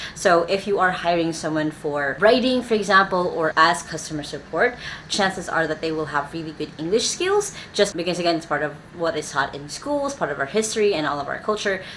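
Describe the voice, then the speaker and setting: With a Filipino accent and lively intonation, a fairly low-pitched woman speaks at a fairly quick pace over noticeable background noise. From Philippines. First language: Filipino language (Tagalog or local dialect). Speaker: YouTuber giving business advice. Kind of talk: talking-head explainer video.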